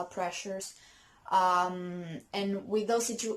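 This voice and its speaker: A woman is speaking. She has a non-native accent. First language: not English. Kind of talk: casual talk to camera. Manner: hesitant, many fillers.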